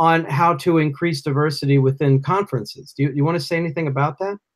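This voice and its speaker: A man with a plain, everyday voice and an American accent talks at a fairly high pitch with ordinary pitch variation on a very clean recording with a silent background. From US Northeast. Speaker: podcast host. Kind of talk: casual interview.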